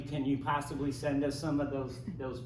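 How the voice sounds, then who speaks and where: Noticeable background noise and audible room echo around a man's fairly high-pitched voice. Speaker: homeless rights activist. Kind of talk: panel discussion. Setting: library event with live audience. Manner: fast; animated.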